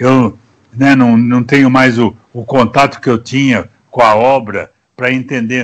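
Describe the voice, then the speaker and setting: Monotone, flat intonation fills a man's medium-pitched speech, delivered at a fairly slow pace. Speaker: actor. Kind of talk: interview answer. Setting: video call.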